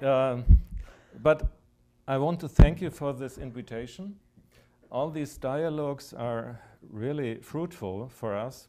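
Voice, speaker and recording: A man with a German accent speaks very slowly at a medium pitch, with a dark, mellow tone, ordinary pitch variation and long, frequent pauses. His loudness swings widely, and the recording is very clean with a silent background. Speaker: German labor official. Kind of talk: panel discussion. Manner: hesitant.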